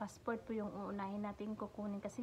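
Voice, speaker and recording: A soft-spoken woman with a medium pitch talks over noticeable background noise. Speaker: vlogger, domestic helper. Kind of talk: tutorial-style vlog. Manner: soft-spoken, speaking quietly.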